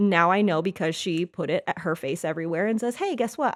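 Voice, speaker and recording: On a very clean recording with a silent background, a woman talks at a fairly quick pace in an animated tone, medium in pitch with ordinary pitch variation. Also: dry, close sound with no echo. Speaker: life coach and podcast host. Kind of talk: solo podcast monologue. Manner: casual, animated.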